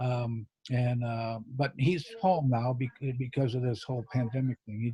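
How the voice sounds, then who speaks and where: With a dark, mellow tone, a man speaks at a medium pitch, somewhat breathy, in a dry, close sound with no echo. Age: 70s. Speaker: magician. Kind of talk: interview. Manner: halting, many fillers and restarts.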